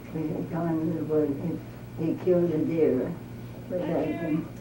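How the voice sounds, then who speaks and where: A woman talks very slowly in a very deep, low voice. There is noticeable background noise. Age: 80s+. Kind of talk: interview answer. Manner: hesitant, halting.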